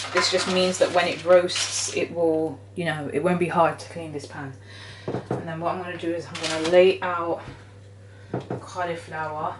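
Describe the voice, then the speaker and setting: In a British accent, a woman with fairly low pitch speaks at a moderate pace, her intonation fairly even but her loudness swinging widely, with audible room echo and noticeable background noise. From Britain, British Jamaican. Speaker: cooking channel host. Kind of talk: cooking tutorial. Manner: casual, chatty.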